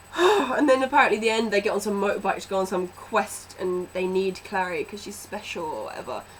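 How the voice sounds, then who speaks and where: With hardly any pauses, a woman talks at a fairly quick pace over noticeable background noise, her medium pitch showing ordinary variation and her loudness swinging widely. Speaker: book vlogger. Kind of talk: movie review vlog. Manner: animated.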